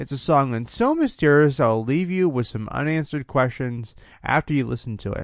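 With an unremarkable speaking voice, a man talks at a fairly quick pace and fairly high pitch, with ordinary pitch variation and a quiet background. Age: 20s. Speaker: music podcast host and songwriter. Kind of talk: solo podcast monologue. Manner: fast.

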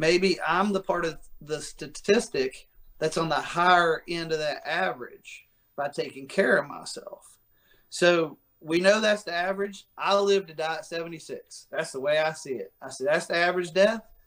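At a moderate pace, this voice shows ordinary pitch variation and big swings in loudness. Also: man, high pitch for a man. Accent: American. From West Virginia. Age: 30s. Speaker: fitness coach. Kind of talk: casual interview. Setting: video call.

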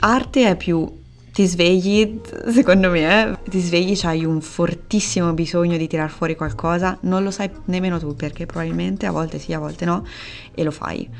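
Music plays in the background as a woman speaks at a moderate pace. Her pitch is fairly low, with ordinary variation. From Italy, Perugia (Umbria). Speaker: illustrator. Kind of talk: casual interview chat. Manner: hesitant, many fillers.

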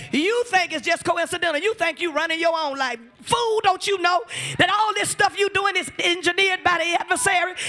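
A man's raised, projected voice at an extremely high pitch, animated in tone and fairly quick, amid noticeable background noise. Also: ordinary pitch variation. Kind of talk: sermon. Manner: animated, call-and-response preaching, urging the congregation to repeat after her; emphatic, building intensity with repeated words and exhortations.

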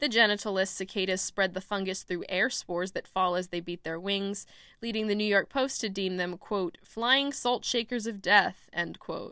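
A woman speaks at a medium pitch and moderate pace in a bright, sharp tone, with ordinary pitch variation and hardly any pauses. The recording is very clean, with a silent background. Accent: American. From Texas, Austin. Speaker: student radio reporter. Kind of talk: scripted narration.

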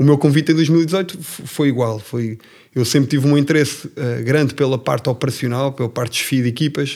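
Fairly even in intonation and moderate in pace, this is a normal speaking voice. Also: man, fairly high pitch for a man. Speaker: family business executive. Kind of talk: casual interview.

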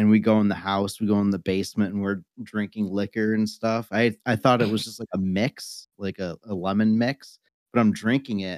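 A man with an American accent, fairly low pitch and fairly even intonation, at a moderate pace with hardly any pauses, in a very clean recording with a silent background. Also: dry, close sound with no echo. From Western Massachusetts, US. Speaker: wrestler and new co-host.

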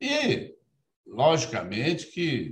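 A man speaks in a somewhat breathy voice. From Minas Gerais interior, Brazil. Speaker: judge, electoral court president. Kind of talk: interview. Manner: formal.

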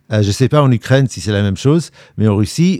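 A man with an English accent and a dark, mellow tone is captured in a very clean recording with a silent background. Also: dry, close sound with no echo. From England, London. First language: English (speaking French). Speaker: war reporter, TV journalist. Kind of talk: interview conversation.

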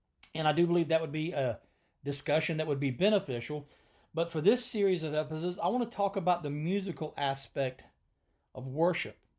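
A man speaks fairly quickly in a normal speaking voice, fairly high in pitch with ordinary pitch variation. The recording is very clean, with a silent background. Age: 50s. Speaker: podcast host and preacher. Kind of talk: solo podcast monologue.

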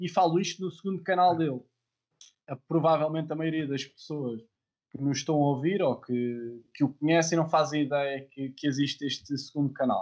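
A man speaks at a moderate pace in an ordinary speaking voice, fairly high in pitch, with ordinary pitch variation. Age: 20s. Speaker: podcast host. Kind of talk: casual interview. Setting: live stream video call.

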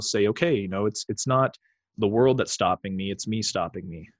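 A man with a Canadian accent and an ordinary speaking voice talks at a fairly quick pace in a fairly low pitch with ordinary pitch variation, the sound dry and close with no echo over a quiet background. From Canada, Toronto. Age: 20s. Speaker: hockey club founder and podcaster. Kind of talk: casual interview. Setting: remote call.

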